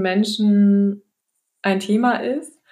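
Recorded very cleanly against a silent background, a woman talks at a medium pitch. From northern Germany, Baltic coast. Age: 30s. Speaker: family nutrition consultant, company founder. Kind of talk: podcast interview. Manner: hesitant, many fillers.

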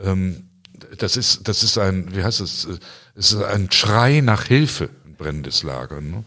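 A man talks in a fairly low voice. The recording is very clean, with a silent background. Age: 60s. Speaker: pastor. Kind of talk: interview. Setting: church. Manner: halting, repeats words.

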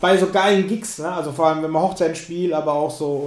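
At a very fast pace, a man speaks with fairly even intonation amid noticeable background noise and audible room echo. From Lower Franconia, Germany. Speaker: podcast host, musician. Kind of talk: casual interview chat.

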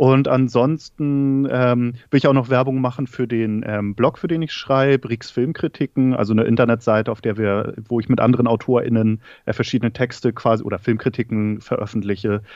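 A man with an ordinary speaking voice, at a fairly quick pace. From northern Germany, Schleswig-Holstein. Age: 30s. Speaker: film content creator. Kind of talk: casual chat. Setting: remote call from living room.

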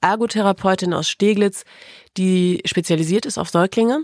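A woman has an unremarkable speaking voice, with fairly even intonation at a moderate pace. The recording is very clean and silent in the background, dry and close with no echo. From Lower Saxony, Osnabrück. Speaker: radio presenter. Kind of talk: personal testimony in interview. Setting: studio.

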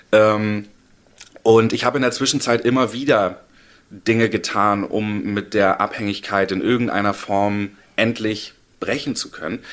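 Pausing long and often, a man talks at a fairly slow pace in a fairly low pitch with fairly even intonation. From Hamburg, northern Germany. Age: 30s. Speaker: recovering addict. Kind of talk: interview.

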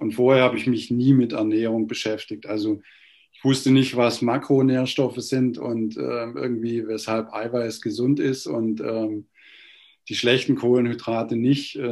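A man's ordinary speaking voice at medium pitch, fairly slow, with fairly even intonation. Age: 50s. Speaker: lawyer, coaching client. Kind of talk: testimonial interview.

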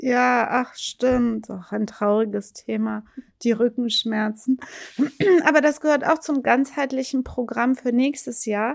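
Speaking at a very slow pace, a woman keeps her high-pitched voice fairly even in intonation. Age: 40s. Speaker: lawyer and podcast co-host. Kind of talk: casual legal discussion podcast.

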